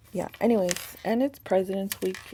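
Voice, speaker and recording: Noticeable background noise runs through the clip. Over it, a woman talks at a fairly slow pace. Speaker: planner YouTuber. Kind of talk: casual plan-with-me tutorial chat. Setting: home at night, kids asleep. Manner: talking kinda loud.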